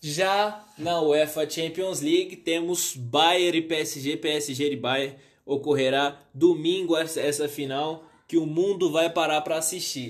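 A man with a Brazilian accent, fairly high in pitch, with fairly even intonation and a very slow pace. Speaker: sports youtuber. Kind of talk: football analysis monologue. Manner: halting, many fillers.

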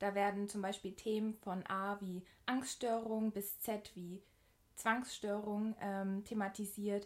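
At a very slow pace, a woman speaks with a medium pitch. Her intonation is monotone and flat. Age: 20s. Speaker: podcast host. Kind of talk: scripted introduction.

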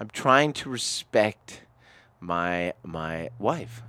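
A man speaks in an animated tone with ordinary pitch variation on a very clean recording with a silent background. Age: 40s. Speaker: podcast co-host. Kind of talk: casual chat. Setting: studio. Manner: loud.

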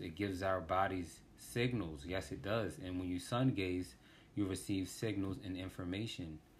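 This man has a very deep, low voice with an American accent and a somewhat breathy quality. His pitch varies in an ordinary way, and his pace is moderate. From US, Washington DC. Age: 30s. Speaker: podcast host. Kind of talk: casual monologue.

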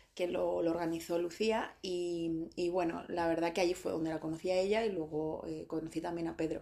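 Over noticeable background noise, a woman with a fairly low pitch talks at a moderate pace. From Spain. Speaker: beauty coach and podcast host. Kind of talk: interview.

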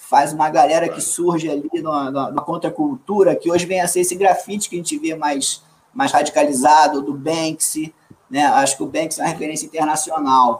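A man's fairly high voice, an ordinary speaking voice, at a moderate pace and with ordinary pitch variation. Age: 40s. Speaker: actor. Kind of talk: casual chat.

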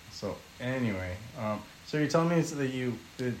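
Ordinary pitch variation shapes a man's voice held at a medium pitch. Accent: American. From California. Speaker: podcast guest. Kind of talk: casual chat.

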